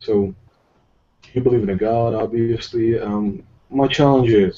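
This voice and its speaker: A man with a Russian accent. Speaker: atheist debater. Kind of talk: heated debate.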